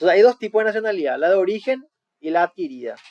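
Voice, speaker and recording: The sound is dry and close, without any echo. A man talks with lively intonation. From Paraguay. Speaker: law student presenter. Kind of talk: class presentation. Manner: explanatory, casual.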